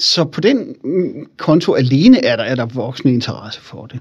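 A man's somewhat breathy, fairly high voice with ordinary pitch variation. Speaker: historian and public speaker. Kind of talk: interview about his book. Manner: animated, engaging storyteller.

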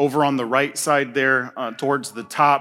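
Heard on a very clean recording with a silent background, the speaker has an American accent and a flat, monotone intonation. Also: man. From Indiana, US Midwest. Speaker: pastor. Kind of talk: sermon.

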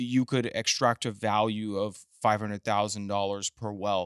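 A man with a normal speaking voice and an American accent, in a very clean recording with a silent background and a dry, close sound with no echo. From Texas, Midland. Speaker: tech company executive. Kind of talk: casual interview chat.

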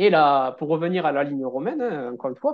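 A man talks at a moderate pace, his pitch swinging very widely. The background is quiet. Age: 30s. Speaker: relaxation therapist and stress coach. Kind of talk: interview.

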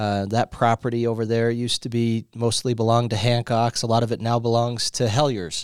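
A man's medium-pitched voice, fairly quick with hardly any pauses, monotone and flat, in a dry, close sound with no echo. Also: very clean recording, silent background. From Riverton, Wyoming. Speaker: city mayor. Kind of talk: interview conversation. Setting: mayor's office.

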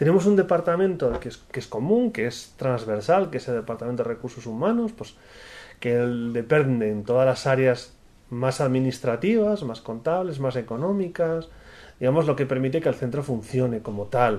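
A dark, mellow tone carries lively intonation at a moderate pace. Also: man, medium pitch for a man. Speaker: director of a technology center for the blind. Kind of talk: interview.

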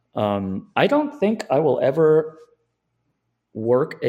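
A man is speaking. His pitch swings very widely. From Southern California. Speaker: finance video commentator. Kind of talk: casual chat.

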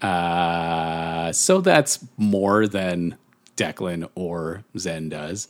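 In a very clean recording with a silent background, a man with a very deep, low voice speaks at a very slow pace with fairly even intonation. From Ireland. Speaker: podcast co-host. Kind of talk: casual chat.

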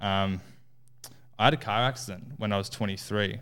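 A man's fairly low, monotone, flat voice with an Australian accent, fairly slow, in a very clean recording with a silent background. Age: 20s. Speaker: coach, former concreter. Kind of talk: casual chat.

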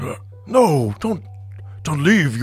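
A man puts on a character voice at a fairly high pitch, swinging it very widely. Clear music plays in the background. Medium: actual play. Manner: self-important, speaks of himself by name.

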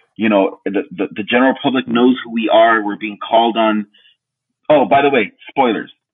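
The intonation stays fairly even at a moderate pace. It is a normal speaking voice. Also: man, medium pitch for a man. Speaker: co-host and artist. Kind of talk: casual chat.

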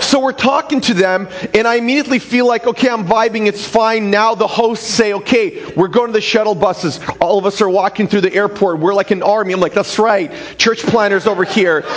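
A man at a high pitch, fairly quick and very even in loudness, with noticeable background noise. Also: ordinary pitch variation. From former Soviet Union. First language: Russian. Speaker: pastor. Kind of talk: sermon. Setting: church.

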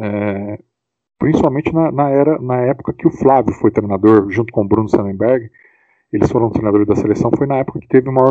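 Medium-pitched male talk, a normal speaking voice moving at a fairly quick pace with ordinary pitch variation. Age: 40s. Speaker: rugby club founder and player. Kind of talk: casual interview.

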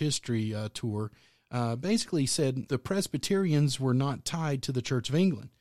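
A man's medium-pitched voice with a dark, mellow tone, moderate pace and ordinary pitch variation, in a very clean recording with a silent background. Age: 40s. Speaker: pastor. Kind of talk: casual chat.

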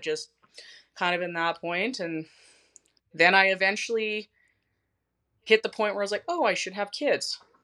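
A woman talks at a moderate pace, her tone bright and sharp. She leaves long, frequent pauses. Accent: slight Canadian. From southern Saskatchewan, Canada. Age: 30s. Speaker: schoolteacher and fitness client. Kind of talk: interview, personal story.

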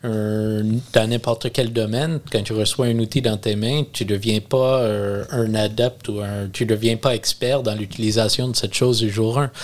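A man with a Quebec accent at a medium pitch, fairly even in intonation and fairly slow in pace. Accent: Québécois French. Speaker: freemason. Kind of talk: casual chat.

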